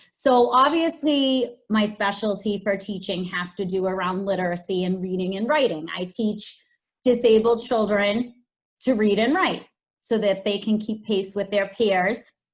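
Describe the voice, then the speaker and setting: A woman's somewhat breathy, medium-pitched voice in a strong Boston accent, fairly slow, in a very clean recording with a silent background. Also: ordinary pitch variation. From Boston, Massachusetts. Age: 40s. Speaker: special education teacher and fashion blogger. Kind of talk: podcast interview.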